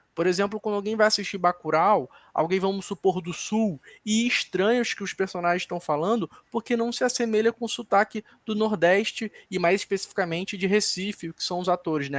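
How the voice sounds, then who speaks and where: Speaking in a Carioca accent, a man talks at a fairly quick pace and a high pitch with ordinary pitch variation. The sound is dry and close, with no echo. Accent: carioca, pronounced chiado s. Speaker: film critic on a debate panel. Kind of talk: panel discussion. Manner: analytical, some self-corrections.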